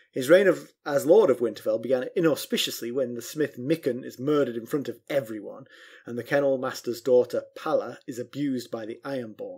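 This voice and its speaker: A man with a plain, everyday voice talks at a fairly quick pace with hardly any pauses, a medium pitch and ordinary pitch variation. His loudness swings a lot, and the recording is very clean with a silent background. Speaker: podcast host. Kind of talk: casual chat, book review discussion. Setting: recorded podcast.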